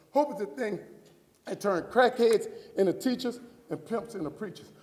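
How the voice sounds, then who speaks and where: A man with an American accent, high-pitched and animated, at a fairly quick pace amid noticeable background noise. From US South, New Orleans. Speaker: motivational speaker. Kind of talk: keynote speech.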